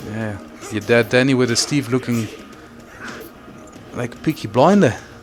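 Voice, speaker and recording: A man speaks at a moderate pace and medium pitch with ordinary pitch variation while music plays in the background. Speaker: stream commentator. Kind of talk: live commentary. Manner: casual, hesitant fillers.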